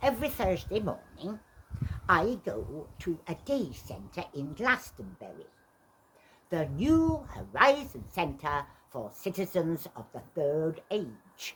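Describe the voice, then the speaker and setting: In a put-on character voice, a woman speaks at a fairly slow pace and a fairly low pitch, with very wide pitch swings and big swings in loudness. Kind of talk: stage monologue. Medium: stage play. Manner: wry, dry, conversational.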